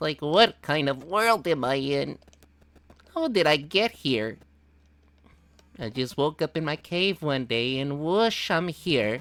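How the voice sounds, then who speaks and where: In a put-on character voice at a low-to-middle pitch, the speaker goes at a fairly slow pace with long, frequent pauses. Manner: bewildered, cute.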